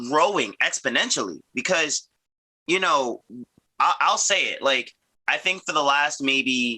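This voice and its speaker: With an American accent, a man speaks at a fairly slow pace, leaving long, frequent pauses. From US, Virginia (Arlington). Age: 30s. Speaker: tricking athlete, podcast co-host. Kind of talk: casual chat.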